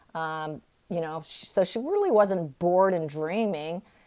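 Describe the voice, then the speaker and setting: The speaker has a Californian accent and talks at a moderate pace. The recording is very clean, with a silent background. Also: woman. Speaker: tarot reader. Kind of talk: tarot reading. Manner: halting, with many fillers.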